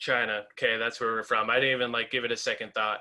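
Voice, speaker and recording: The voice has a bright, sharp tone with an American accent. Its intonation is monotone and flat. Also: man. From US Midwest, North Dakota. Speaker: metal band frontman. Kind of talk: interview.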